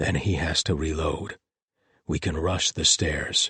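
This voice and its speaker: In a put-on character voice, a man sounds croaky, raspy and hoarse, with a very deep, low pitch. He speaks at a fairly slow pace. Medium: read story.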